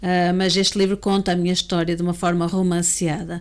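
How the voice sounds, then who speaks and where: In a very clean recording with a silent background, a woman speaks in a medium pitch with monotone, flat intonation and a European Portuguese accent. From Portugal. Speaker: educator and abuse survivor speaker. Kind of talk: interview testimony.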